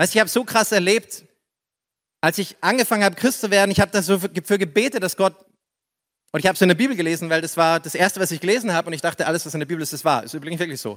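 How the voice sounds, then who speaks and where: A man speaks very fast in a high voice, his loudness swinging widely. His pitch varies an ordinary amount, and the sound is dry and close with no echo. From Upper Palatinate, Bavaria. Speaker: pastor. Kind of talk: sermon. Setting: church. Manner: animated.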